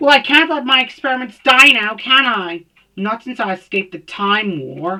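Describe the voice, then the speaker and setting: A female-sounding voice puts on a character voice, pitched fairly high. The pace is moderate. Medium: read story. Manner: smooth, chilled, cold.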